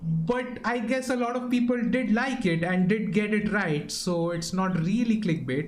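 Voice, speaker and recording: This man talks at a high pitch with ordinary pitch variation and hardly any pauses, over noticeable background noise and audible room echo. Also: fairly slow pace. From India. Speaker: gaming streamer. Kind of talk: casual live stream chat. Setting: live stream. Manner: casual, filler-heavy.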